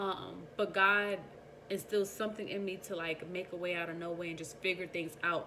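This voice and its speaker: Her tone comes across bright and sharp. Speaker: vlogger. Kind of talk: casual monologue. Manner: fast.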